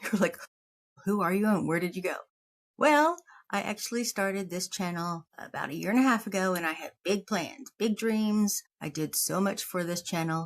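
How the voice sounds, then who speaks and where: Ordinary pitch variation at a moderate pace. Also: woman, medium pitch for a woman. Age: 50s. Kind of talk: casual talk to camera. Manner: rambling, humorous.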